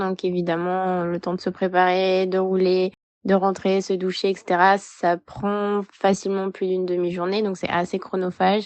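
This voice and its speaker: The woman's pitch is medium. She speaks fairly slowly. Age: 20s. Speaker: amateur cyclist. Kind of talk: testimony.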